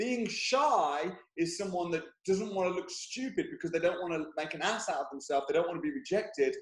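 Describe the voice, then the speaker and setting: An energetic man with an English accent speaks loudly at a fairly quick pace. His high-pitched voice moves with lively intonation. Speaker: property investor. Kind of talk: interview. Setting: video call. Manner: loud, energetic.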